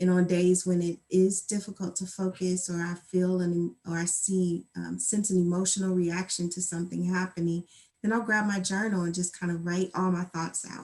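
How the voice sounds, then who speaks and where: A woman's medium-pitched voice in a flat monotone. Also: hardly any pauses. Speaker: mental health helper. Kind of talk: interview. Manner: slow; soft-spoken.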